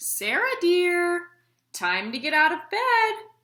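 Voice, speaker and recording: A woman speaks in a put-on character voice, squeaky and extremely high in pitch. Her pace is very slow. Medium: read story. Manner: reassuring.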